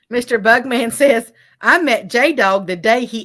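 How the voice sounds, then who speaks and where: Loud and bright, a woman with a sharp, fairly high voice speaks very slowly with lively intonation. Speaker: livestream co-host reading chat. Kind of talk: casual chat on a fishing livestream. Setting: outdoors on a river.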